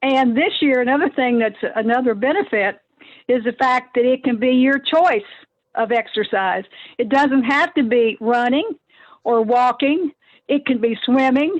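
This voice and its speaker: A woman with a Kentucky accent speaks at a high pitch. Her loudness stays very even and her pitch variation is ordinary. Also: moderate pace. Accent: Kentucky twang. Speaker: nonprofit staff member. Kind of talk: casual podcast interview. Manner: halting, many fillers.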